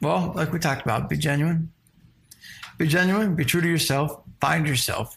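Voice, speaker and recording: With vocal fry and very even loudness, a man speaks at a moderate pace, his fairly high pitch showing ordinary variation. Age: 30s. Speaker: rock musician. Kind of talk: interview. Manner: halting.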